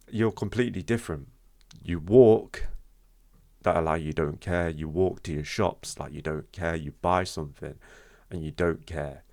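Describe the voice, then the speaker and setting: On a very clean recording with a silent background, a man with a very deep, low voice speaks at a fairly slow pace with ordinary pitch variation. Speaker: vlogger sharing personal experience. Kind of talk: unscripted talk to camera. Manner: stutters; halting, repeats words.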